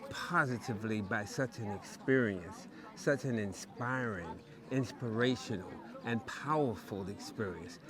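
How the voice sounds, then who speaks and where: Someone with an American accent speaks at a very slow pace with ordinary pitch variation. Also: man. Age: 70s. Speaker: traveler interviewee. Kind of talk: interview answer.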